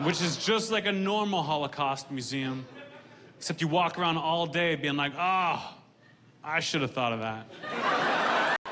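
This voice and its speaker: A man talks at a fairly slow pace and fairly high pitch in an ordinary speaking voice. His loudness stays very even. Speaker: stand-up comedian. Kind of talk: stand-up comedy set to a live audience. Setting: live comedy venue with audience laughter. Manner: deadpan, dry delivery.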